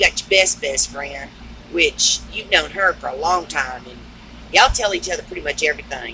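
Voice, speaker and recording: A woman speaks at a moderate pace with a Southern US accent. Noticeable background noise can be heard. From US South (Texas and Georgia). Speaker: truck driver and storyteller. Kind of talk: casual storytelling vlog.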